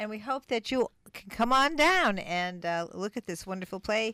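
A woman with an unremarkable speaking voice talks at a fairly slow pace with lively intonation. The recording is very clean, its background silent and its sound dry and close with no echo. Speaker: radio co-host. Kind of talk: casual chat. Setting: studio.

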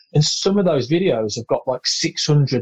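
Somewhat breathy, a man with a British accent speaks at a moderate pace with ordinary pitch variation, the sound dry and close with no echo. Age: 30s. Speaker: air force serviceman and golf social media creator. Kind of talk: casual interview chat.

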